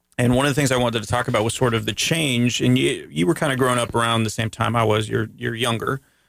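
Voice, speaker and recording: A man with an American accent talks at a very fast pace with hardly any pauses and very even loudness. His medium pitch shows ordinary pitch variation and vocal fry. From Florida, US. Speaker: radio host. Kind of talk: casual radio interview. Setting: radio studio. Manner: rambling.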